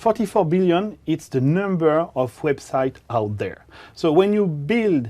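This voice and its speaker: With a French accent, a man speaks at a fairly slow pace in a fairly high pitch, his dark, mellow tone rising and falling in very wide swings. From France. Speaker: developer evangelist presenting on web technology. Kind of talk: technical conference presentation. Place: studio. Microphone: lapel.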